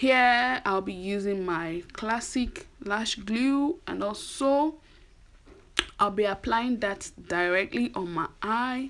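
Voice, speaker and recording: A woman speaks with a Nigerian accent. Her pitch swings very widely. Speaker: beauty vlogger. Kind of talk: tutorial. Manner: casual, chatty.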